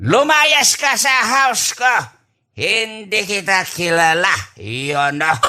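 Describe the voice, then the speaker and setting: In a put-on character voice, a man speaks very slowly with a high pitch, very wide pitch swings, a raised, projected delivery and very even loudness. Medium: audio drama. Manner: rambling, mixing English and Tagalog.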